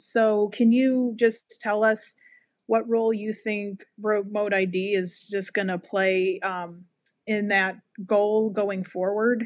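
A woman speaks at a very slow pace in a monotone, flat intonation, with a dry sound, no echo and a quiet background. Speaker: podcast co-host. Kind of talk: casual interview. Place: home room. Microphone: video call.

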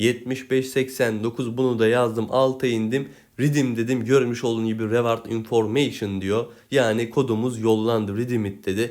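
At a fairly slow pace, a man talks at medium pitch in a monotone, flat intonation. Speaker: gaming YouTuber. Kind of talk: gameplay tutorial.

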